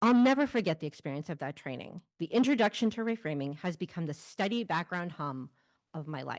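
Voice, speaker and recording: The voice moves at a fairly quick pace with very wide pitch swings. The sound is dry and close with no echo, over a quiet background. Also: woman, fairly low pitch for a woman. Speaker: family support specialist and adoptive mother. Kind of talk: personal storytelling on stage.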